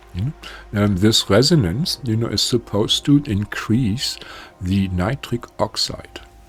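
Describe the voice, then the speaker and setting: A man at medium pitch, fairly slow and with lively intonation, over noticeable background noise. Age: 70s. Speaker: spiritual healer. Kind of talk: casual talk to camera. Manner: hesitant, many fillers.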